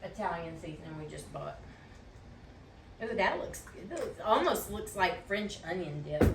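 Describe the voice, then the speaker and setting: A woman at a fairly slow pace, with long, frequent pauses and big swings in loudness, amid audible room echo and noticeable background noise. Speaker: cooking show co-host. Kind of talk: casual cooking tutorial.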